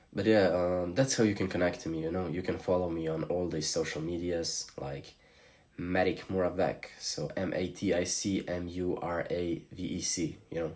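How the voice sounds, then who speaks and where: Against noticeable background noise, a man with a Slavic accent speaks at a very deep, low pitch. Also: ordinary pitch variation, moderate pace. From Slovenia. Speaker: streamer. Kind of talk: live stream chat.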